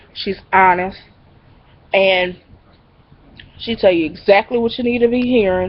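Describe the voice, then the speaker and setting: Pitch varies in an ordinary way. The woman speaking sits at a medium pitch. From New Orleans, Uptown. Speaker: YouTuber. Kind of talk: casual webcam vlog. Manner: animated.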